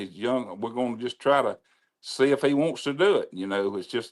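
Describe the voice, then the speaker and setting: A man with a Mississippi accent speaks at a moderate pace and medium pitch with lively intonation, in a very clean recording with a silent background. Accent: Southern US (Mississippi). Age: 70s. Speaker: racetrack announcer. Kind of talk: casual chat.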